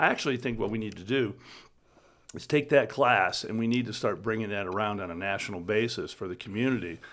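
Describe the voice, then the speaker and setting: At a very fast pace, a man with an American accent and a medium pitch speaks with ordinary pitch variation on a very clean recording with a silent background. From upstate New York. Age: 60s. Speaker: company CEO, former army military police. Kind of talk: casual interview chat.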